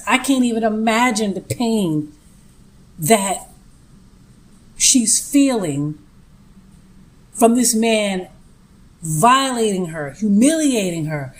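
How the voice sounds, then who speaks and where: With a Brooklyn accent, a woman speaks at a very slow pace with long, frequent pauses, her fairly high voice swinging very widely in pitch. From Brooklyn, New York. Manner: indignant, outspoken.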